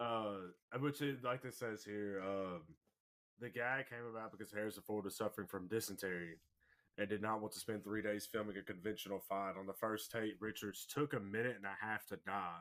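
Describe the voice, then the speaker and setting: At a moderate pace, a man talks with a Southern accent. His pitch is fairly low and his intonation fairly even. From US South. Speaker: podcast co-host. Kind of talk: reading aloud; casual chat.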